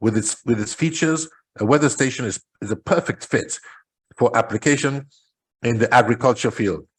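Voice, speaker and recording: This man has a medium-pitched, somewhat breathy voice with ordinary pitch variation. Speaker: entrepreneur presenting agritech. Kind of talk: presentation talk. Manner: fast.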